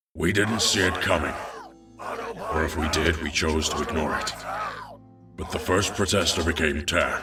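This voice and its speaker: A man puts on a raspy character voice and speaks at a moderate pace. Clear music plays in the background. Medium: audio drama.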